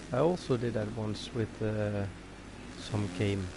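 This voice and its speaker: Audible room echo fills the space. The words come at a fairly slow pace. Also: man. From Norway. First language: Norwegian. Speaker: gaming livestreamer. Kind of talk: live gameplay commentary. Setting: livestream with chat. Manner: halting, many fillers.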